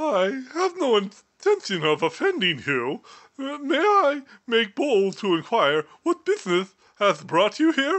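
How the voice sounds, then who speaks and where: This put-on character voice sits at a fairly high pitch with very wide pitch swings. It moves at a fairly slow pace. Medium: read story. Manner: stiff, formal.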